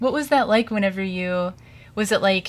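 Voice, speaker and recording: At a moderate pace, a somewhat breathy woman speaks on a very clean recording with a silent background. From Springfield, Missouri. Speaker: college radio host and DJ. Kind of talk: radio interview. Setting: radio studio. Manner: hesitant, many fillers.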